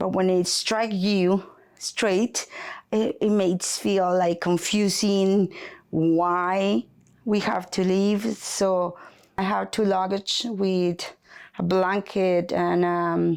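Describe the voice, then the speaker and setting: On a very clean recording with a silent background, a woman of medium pitch speaks very slowly with fairly even intonation and very even loudness. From Colombia (Bogota). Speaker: immigrant. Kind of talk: testimony.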